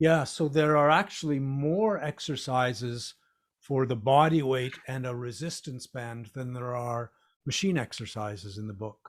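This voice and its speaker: In a plain, everyday voice, a man speaks at medium pitch and a fairly slow pace, with ordinary pitch variation and big swings in loudness. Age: 60s. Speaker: fitness author. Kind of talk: casual chat. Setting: video call.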